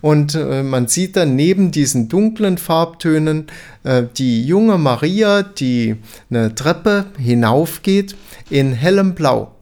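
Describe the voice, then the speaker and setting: A man speaks at a very slow pace. His voice is fairly high. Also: lively intonation, very even loudness. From Saarland, Germany (Dillingen). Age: 60s. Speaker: art educator, museum expert. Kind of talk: interview, expert explanation.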